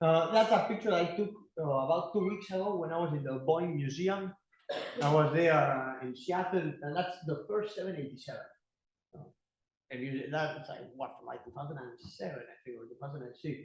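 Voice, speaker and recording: With an Argentine accent, a man speaks at a fairly high pitch with ordinary pitch variation and big swings in loudness, amid audible room echo. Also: moderate pace. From Argentina. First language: Spanish. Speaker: teaching assistant giving guest lecture. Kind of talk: lecture. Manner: halting.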